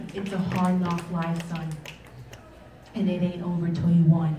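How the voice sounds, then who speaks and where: A woman's fairly low, monotone voice at a moderate pace, with noticeable background noise. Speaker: spoken word poet. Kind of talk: live spoken word poetry performance. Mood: reflective, rhythmic, urging. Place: stage.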